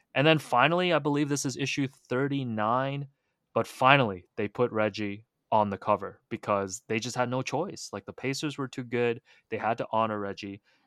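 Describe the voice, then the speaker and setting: A man's plain, everyday voice with a Canadian accent, medium pitch, ordinary pitch variation and a moderate pace, on a very clean, dry, close recording with no echo and a silent background. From Hong Kong, raised in Toronto. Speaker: basketball writer and author. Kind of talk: casual chat.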